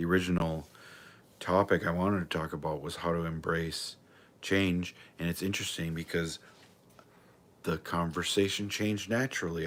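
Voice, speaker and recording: A man with a very deep, low pitch speaks in an angry tone on a very clean recording with a silent background. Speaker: livestreamer, self-help talker. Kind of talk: solo livestream monologue. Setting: live video stream. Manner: loud, sounds confrontational or angry; rambling, enthusiastic.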